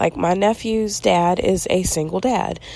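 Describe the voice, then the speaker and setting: A woman whispering. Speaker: podcast host. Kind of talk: casual monologue.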